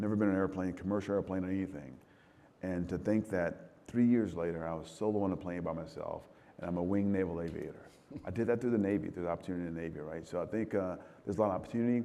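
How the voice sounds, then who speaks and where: Heard with audible room echo, a man with a very deep, low pitch and a dark, mellow tone speaks at a very fast pace with ordinary pitch variation. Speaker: military commander. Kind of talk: fireside chat interview. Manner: halting, repeats words.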